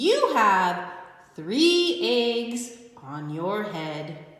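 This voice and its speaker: In a put-on character voice, a woman speaks at a medium pitch. A clear echo surrounds her. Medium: read story. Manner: calm, cheerful.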